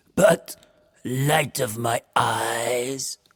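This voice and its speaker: In a put-on character voice, a man growls at medium pitch with ordinary pitch variation, the sound dry and close with no echo. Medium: read story.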